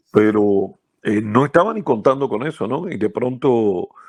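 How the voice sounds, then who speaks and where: A man's medium-pitched voice, an ordinary speaking voice with ordinary pitch variation. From central Cuba. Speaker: baseball radio announcer. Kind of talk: interview.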